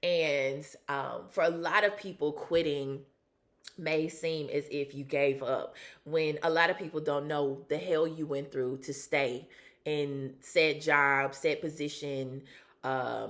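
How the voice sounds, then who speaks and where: A woman with a Southern US accent speaks very slowly in a very deep, low pitch, her intonation fairly even. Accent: Southern US, country twang. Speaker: vlogger, former sports reporter and model. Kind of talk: casual personal vlog. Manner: casual with frequent fillers.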